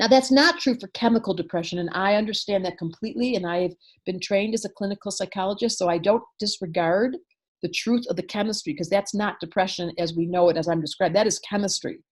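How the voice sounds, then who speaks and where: Animated and somewhat breathy, a woman talks at a very fast pace. Her pitch is medium with ordinary variation. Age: 60s. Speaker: astrologer and psychologist. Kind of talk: interview.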